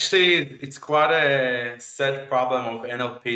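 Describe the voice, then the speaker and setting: Speaking at a medium pitch, a man talks in an Israeli accent. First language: Hebrew. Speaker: AI researcher, chatbot developer. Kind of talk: tech talk and Q&A. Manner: halting.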